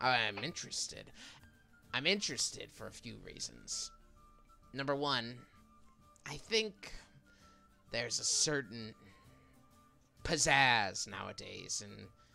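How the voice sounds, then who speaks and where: A man puts on a raspy character voice at a medium pitch, speaking at a fairly slow pace with long, frequent pauses. Faint music plays in the background. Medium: actual play. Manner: brash, salesman-like.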